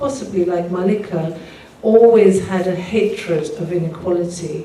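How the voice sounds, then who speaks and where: Someone with an English accent is heard with audible room echo and noticeable background noise. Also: woman. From England, Pakistani background. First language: Urdu. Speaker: singer-songwriter. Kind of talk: talk to live audience.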